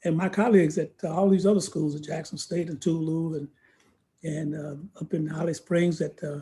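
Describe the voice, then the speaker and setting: A man's high, dark and mellow voice in an American accent, moderate in pace and monotone, flat in intonation. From US South, Georgia. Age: 70s. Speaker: civil rights veteran. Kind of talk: podcast interview, personal testimony.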